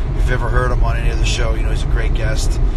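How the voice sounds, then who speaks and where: The speech moves at a very fast pace against loud background noise. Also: man, dry sound with no echo. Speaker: host talking to live viewers. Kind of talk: casual vlog chat. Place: car. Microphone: phone near.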